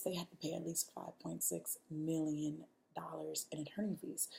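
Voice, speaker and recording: With a dark, mellow tone, a woman speaks at a moderate pace in a somewhat breathy, monotone, flat delivery. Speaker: student. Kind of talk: video presentation on course assignment. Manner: hesitant, filler-heavy.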